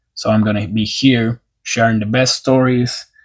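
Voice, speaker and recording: This man has a non-native accent. His medium-pitched voice holds fairly even intonation. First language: not English. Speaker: sports YouTuber. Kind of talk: scripted opinion narration; casual outro to viewers. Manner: impassioned.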